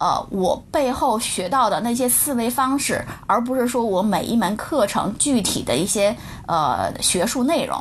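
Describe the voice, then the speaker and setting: Over noticeable background noise, a woman talks at a fairly slow pace in a high pitch with lively intonation. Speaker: product manager. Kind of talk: interview. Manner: hesitant, many filler sounds.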